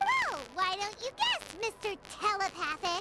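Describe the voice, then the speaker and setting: Over loud background noise, a put-on character voice, squeaky and extremely high in pitch, moves at a moderate pace. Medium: video game. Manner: lively.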